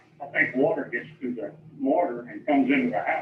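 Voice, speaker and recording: Noticeable background noise sits behind a man. He speaks at a moderate pace with ordinary pitch variation. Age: 70s. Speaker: property owner protesting taxes. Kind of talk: testimony at hearing.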